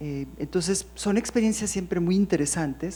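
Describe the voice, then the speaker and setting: At a fairly slow pace, a woman of medium pitch speaks in a dark, mellow tone with lively intonation. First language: English (speaking Spanish). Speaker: poet. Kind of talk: panel discussion. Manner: halting.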